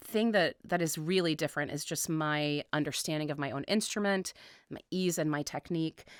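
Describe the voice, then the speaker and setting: Recorded very cleanly against a silent background, a woman with a fairly low pitch speaks at a moderate pace with fairly even intonation, the sound dry and close with no echo. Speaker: opera singer. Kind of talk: interview. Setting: radio studio. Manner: hesitant, many fillers.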